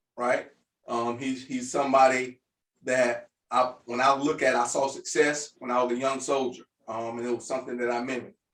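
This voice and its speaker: A man with an American accent talks at a moderate pace and medium pitch. His intonation is monotone and flat. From Jacksonville, Florida, US South. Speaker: podcast host, leadership coach. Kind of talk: podcast monologue. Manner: repetitive, hesitant with fillers.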